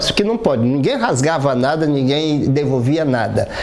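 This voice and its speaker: Speech at a moderate speed, carrying audible room echo, with noticeable noise behind it. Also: man. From Piauí, Brazil. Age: 60s. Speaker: cartoonist. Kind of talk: documentary interview. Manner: halting.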